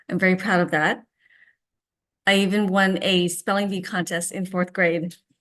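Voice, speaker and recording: Against a quiet background, a woman with a Vietnamese accent speaks at a moderate pace and medium pitch, her intonation monotone and flat, with long, frequent pauses. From US (immigrated from Vietnam at seven). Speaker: teacher. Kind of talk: speech.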